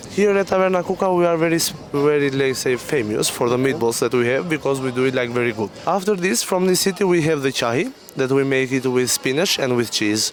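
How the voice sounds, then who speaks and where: A man with an Albanian accent, fairly high-pitched and lively in intonation, very even in loudness, hardly any pauses, noticeable background noise. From Albania, Gjirokastër. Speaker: restaurant waiter. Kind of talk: interview. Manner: halting.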